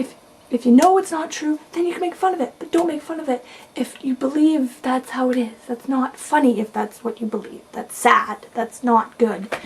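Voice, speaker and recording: A soft-spoken woman talks at a moderate pace with a high pitch and lively intonation. Noticeable background noise sits behind her. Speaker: video blogger. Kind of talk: casual vlog monologue.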